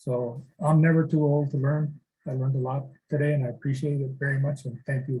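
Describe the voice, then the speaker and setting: A man's somewhat breathy, fairly high-pitched voice with a dark, mellow tone, monotone, flat intonation and a fairly quick pace. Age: old. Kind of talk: casual chat.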